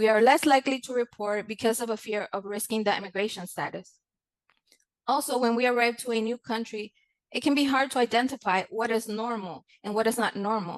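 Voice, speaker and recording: Speaking fairly quickly in a Spanish accent, a woman with fairly high pitch uses ordinary pitch variation in a dry, close sound with no echo. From Mexico. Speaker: content creator. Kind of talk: conference presentation. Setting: conference. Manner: formal.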